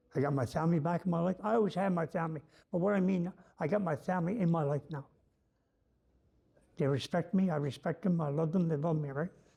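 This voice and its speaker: In a Newfoundland accent, the speaker goes at a very fast pace with long, frequent pauses, a dark, mellow tone and ordinary pitch variation. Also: man, high pitch for a man. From Newfoundland, Canada. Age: 60s. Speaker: former prisoner sharing recovery story. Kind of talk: personal testimony. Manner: casual, halting with fillers.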